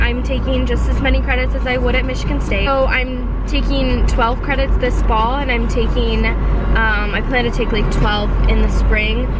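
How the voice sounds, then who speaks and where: A woman at a fairly slow pace, dry sound with no echo, music in the background. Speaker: vlogger. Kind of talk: casual vlog chat. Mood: relaxed, candid. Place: car. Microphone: phone near.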